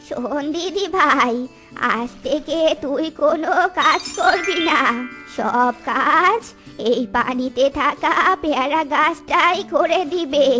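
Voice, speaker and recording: Over clear music in the background, a woman puts on a cartoonish character voice, high in pitch and very slow. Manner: affectionate.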